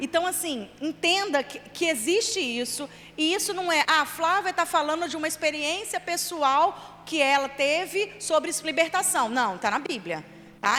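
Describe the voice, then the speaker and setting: A woman's raised, projected voice, high in pitch, with a bright, sharp tone, lively intonation and a moderate pace. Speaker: children's ministry leader and trainer. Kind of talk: church training lecture.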